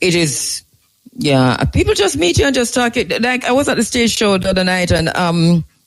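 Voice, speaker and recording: With a Jamaican accent and a high voice, a man talks at a moderate pace. His pitch swings very widely. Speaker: show host. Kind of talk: live interview on location.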